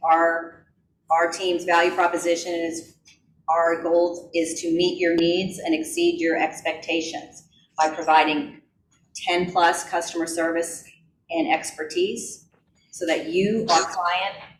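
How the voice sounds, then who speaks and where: In a room with audible echo, a woman talks fairly slowly in a fairly low, flat, monotone voice. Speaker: real estate team lead teaching a class. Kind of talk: class presentation.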